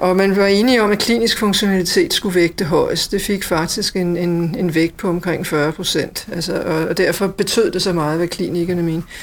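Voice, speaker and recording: Speech at a moderate pace with hardly any pauses keeps a fairly even intonation against noticeable background noise. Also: woman, medium pitch for a woman. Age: 50s. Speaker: hospital IT manager, former nurse. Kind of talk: interview.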